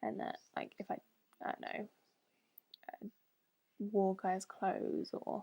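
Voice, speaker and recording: Speaking with a British accent, a woman goes at a very slow pace with long, frequent pauses. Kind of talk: casual talk to camera. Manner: hesitant, lots of fillers.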